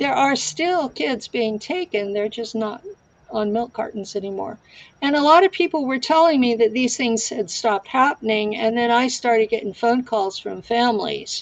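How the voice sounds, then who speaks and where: A woman's ordinary speaking voice, fairly high-pitched, with lively intonation at a moderate pace. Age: 60s. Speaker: guest claiming insider experience. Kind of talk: interview.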